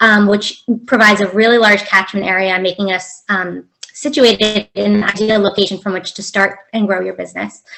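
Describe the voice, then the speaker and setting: This woman has a normal speaking voice at a medium pitch. She talks at a fairly quick pace. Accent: American. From United States. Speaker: business community manager. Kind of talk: online event presentation. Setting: video call.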